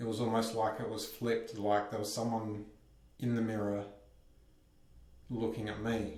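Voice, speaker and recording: A man with a medium pitch speaks at a moderate pace in a shaky, monotone, flat delivery with long, frequent pauses. Noticeable background noise and audible room echo fill the recording. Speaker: vlogger. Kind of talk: personal vlog monologue. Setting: bathroom at home. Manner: shaky voice.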